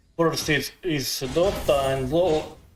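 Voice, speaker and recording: A man with a non-native accent talks at a very slow pace with ordinary pitch variation. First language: not English. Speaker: gaming streamer. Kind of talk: live gameplay commentary. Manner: halting.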